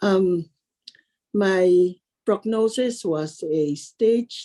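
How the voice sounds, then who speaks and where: A woman speaks at a very slow pace with a dark, mellow tone. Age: 60s. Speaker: cancer survivor. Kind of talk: interview testimony. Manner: hesitant.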